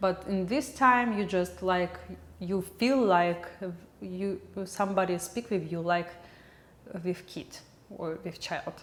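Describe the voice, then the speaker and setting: With a Russian accent, a woman speaks at a very slow pace with long, frequent pauses. Her pitch is medium and varies in an ordinary way. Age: 20s. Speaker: video blogger and film editor. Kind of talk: casual vlog monologue. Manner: halting.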